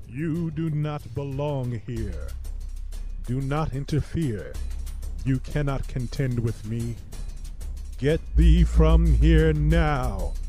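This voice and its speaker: A man in a put-on character voice speaks at a very slow pace over clear background music. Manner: commanding, archaic.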